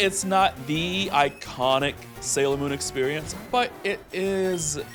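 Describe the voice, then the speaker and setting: A man with a fairly high pitch speaks with lively intonation over music in the background. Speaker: vtuber. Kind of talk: casual gameplay commentary. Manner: calming.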